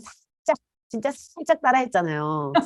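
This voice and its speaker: A woman speaks at a moderate pace, her pitch swinging very widely. Music plays in the background. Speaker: professor; podcast co-host. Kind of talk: casual chat. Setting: video call.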